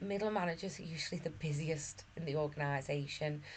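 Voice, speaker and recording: A woman's somewhat breathy voice, fairly low in pitch, with ordinary pitch variation, a moderate pace, and audible room echo. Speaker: management course tutor. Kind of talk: lecture. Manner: hesitant, with fillers and repeats.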